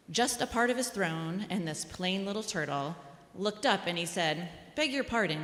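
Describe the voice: Someone reads aloud plainly. The pitch moves in a lively way.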